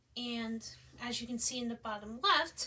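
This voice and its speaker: A woman's high-pitched voice at a moderate pace, with noticeable background noise. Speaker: student presenting a game concept. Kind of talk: presentation.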